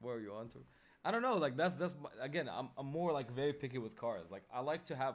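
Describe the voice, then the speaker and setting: Talking at a very fast pace, a man with an Arabic accent keeps to a medium pitch. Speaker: day-trading livestreamer. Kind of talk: casual chat. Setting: livestream. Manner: animated.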